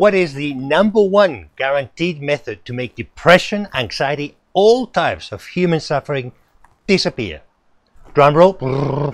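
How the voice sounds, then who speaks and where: Playful in tone, a man with a fairly high pitch speaks at a fairly slow pace with lively intonation, in a dry sound with no echo against a quiet background. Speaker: interviewer, mental health institute CEO. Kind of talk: show intro to camera. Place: garden. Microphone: phone near.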